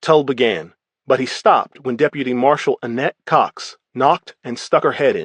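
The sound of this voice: The speaker reads in an unforced reading voice. The background is quiet.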